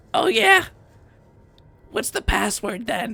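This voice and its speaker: The voice is a put-on character voice at a fairly high pitch. It sounds raspy. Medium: actual play. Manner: crude, aggressive.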